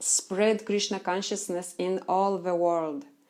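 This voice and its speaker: A woman with a Russian accent speaks at a very slow pace in a dark, mellow tone. Her intonation is fairly even, and the recording is very clean with a silent background. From Russia, Chelyabinsk. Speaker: Krishna devotee. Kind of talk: live Q&A stream. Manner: halting.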